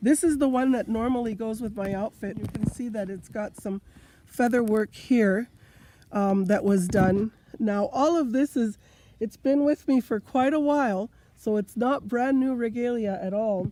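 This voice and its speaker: At a moderate pace, a woman with a fairly high pitch and ordinary pitch variation uses an unremarkable speaking voice, recorded with a dry, close sound and no echo. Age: 60s. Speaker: powwow dancer. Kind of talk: explaining regalia to camera.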